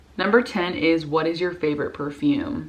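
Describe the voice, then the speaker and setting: A woman's very deep, low voice, animated and fairly quick, with noticeable background noise. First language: Spanish. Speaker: YouTuber. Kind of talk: casual vlog chat.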